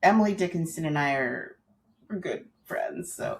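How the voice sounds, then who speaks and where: In a very clean recording with a silent background, a woman with an American accent speaks at a moderate pace, somewhat breathy, with fairly low pitch and ordinary pitch variation. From US Midwest, St. Louis, Missouri. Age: 60s. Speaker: writer. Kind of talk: interview. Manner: hesitant, many fillers.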